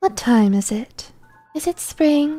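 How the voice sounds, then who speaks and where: A woman's shrill, high-pitched put-on character voice, with faint music in the background. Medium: game stream. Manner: cloyingly sweet, toying.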